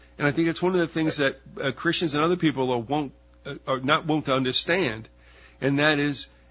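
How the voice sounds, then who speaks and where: A man speaking at a fairly quick pace, with music in the background. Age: 60s. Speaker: radio host. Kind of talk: interview conversation.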